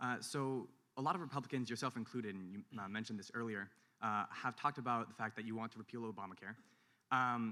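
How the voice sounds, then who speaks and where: A man with a Californian accent, medium pitch, ordinary pitch variation and a very fast pace. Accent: Californian American. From San Francisco. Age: young. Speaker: student audience member. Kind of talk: audience question. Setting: university hall with audience.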